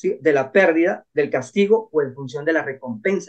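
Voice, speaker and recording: A man speaks at a very fast pace with a high pitch. His intonation is lively. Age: 60s. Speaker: Shaolin monk, finance and neuroscience commentator. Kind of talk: interview conversation.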